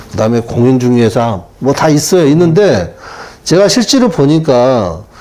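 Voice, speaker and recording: A man's voice with very wide pitch swings, in audible room echo. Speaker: taxi driver, retired telecom employee. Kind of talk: interview.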